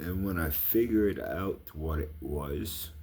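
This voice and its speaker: A quiet man speaks at a very slow pace in a very deep, low voice with a dark, mellow tone. His delivery is somewhat breathy, and audible room echo surrounds it. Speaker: vlogger. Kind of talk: casual monologue. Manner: quiet, voice kept down; rambling, halting.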